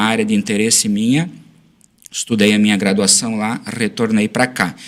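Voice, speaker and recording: This is a man with an unremarkable speaking voice. He talks at a moderate pace with ordinary pitch variation. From southern Brazil, western Santa Catarina. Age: 30s. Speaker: school administrator and former teacher. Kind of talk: podcast interview.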